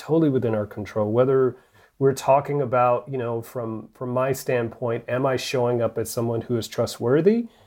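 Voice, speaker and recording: With an American accent and an unremarkable speaking voice, a man of medium pitch talks at a moderate pace with fairly even intonation and big swings in loudness, on a very clean recording with a silent background. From US South, rural North Alabama. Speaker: bishop. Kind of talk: interview.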